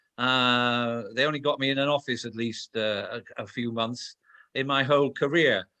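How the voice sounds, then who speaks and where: A man with a Welsh accent speaks at a moderate pace, his medium pitch carried on fairly even intonation. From Wales. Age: 60s. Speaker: former police commander and security expert. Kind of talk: interview. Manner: blunt, straight talking.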